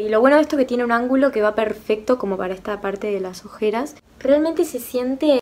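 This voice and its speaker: The speech goes at a very fast pace. Its pitch varies in an ordinary way. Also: woman, high pitch for a woman. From Argentina. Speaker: beauty youtuber. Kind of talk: makeup tutorial review. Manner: animated. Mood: enthusiastic, impressed. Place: home room. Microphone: phone near.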